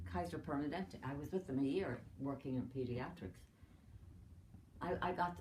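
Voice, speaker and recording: A woman with an Irish accent speaks in a very deep, low, somewhat breathy voice. Her intonation is lively, and audible room echo fills the recording. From Ireland. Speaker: retired doctor. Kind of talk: family interview. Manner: halting.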